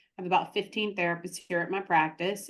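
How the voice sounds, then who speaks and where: In a Southern US accent, a woman speaks at a medium pitch with fairly even intonation. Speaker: therapist and practice consultant. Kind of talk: interview.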